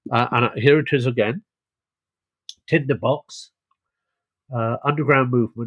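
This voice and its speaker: With a British accent, a man speaks at medium pitch and fairly even intonation, the sound dry and close with no echo. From Britain. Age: 60s. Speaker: podcast host. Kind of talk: interview.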